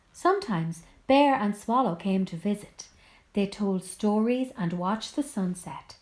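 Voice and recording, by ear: Natural-voiced reading aloud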